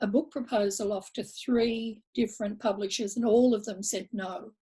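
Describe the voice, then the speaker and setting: A woman's somewhat breathy, fairly high voice with a dark, mellow tone, in an Australian accent, at a moderate pace with ordinary pitch variation. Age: 70s. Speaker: blogger and author. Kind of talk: interview conversation. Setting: video call.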